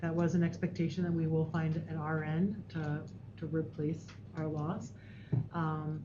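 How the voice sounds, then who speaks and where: Soft-spoken and somewhat breathy, a woman talks at a moderate pace in a very deep, low pitch, with long, frequent pauses and audible room echo. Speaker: school district administrator. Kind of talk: board meeting report.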